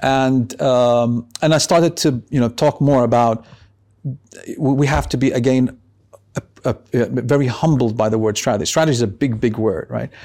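A man with an Arabic accent, a dark, mellow tone, medium pitch, ordinary pitch variation and a moderate pace. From Lebanon and Yemeni family. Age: 50s. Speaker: tech investment advisor. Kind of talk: interview. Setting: in person in Amman. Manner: halting with many fillers.

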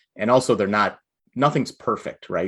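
A man talks at a fairly quick pace in a normal speaking voice, with ordinary pitch variation. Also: quiet background. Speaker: physician. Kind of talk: casual interview chat. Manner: joking, casual.

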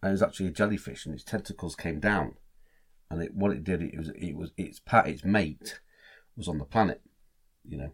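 With a Lincolnshire accent, a man with a very deep, low voice and vocal fry talks at a fairly quick pace, leaving long, frequent pauses, with ordinary pitch variation and big swings in loudness. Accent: northern English (Lincolnshire). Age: 60s. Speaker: podcast co-host. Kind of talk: casual chat.

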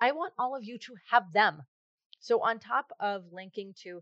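An animated, enthusiastic woman at a moderate pace, with ordinary pitch variation and a quiet background. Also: dry, close sound with no echo. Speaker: podcast host. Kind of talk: casual interview chat.

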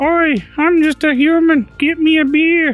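A high-pitched, put-on character voice over faint music in the background. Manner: mocking.

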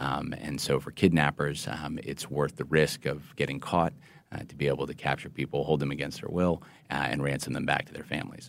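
Vocal fry from a man at a fairly quick pace. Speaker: FBI agent. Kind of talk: interview.

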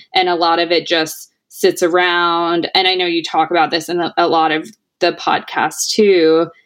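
In a normal speaking voice, a woman with an American accent speaks at a fairly low pitch and moderate pace with fairly even intonation. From US South, Tennessee. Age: 30s. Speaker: retail company founder. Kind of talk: interview.

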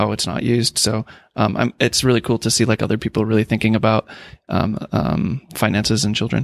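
A man with an unremarkable speaking voice talks at a fairly quick pace and a medium pitch. The recording is very clean with a silent background, and the sound is dry and close with no echo. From US Midwest, Minneapolis. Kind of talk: group discussion around a table.

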